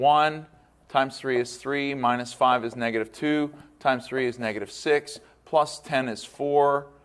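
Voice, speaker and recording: Here a man talks with fairly even intonation in an ordinary speaking voice. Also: medium pitch for a man, fairly slow pace. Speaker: math teacher. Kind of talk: recorded lecture. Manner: casual, conversational.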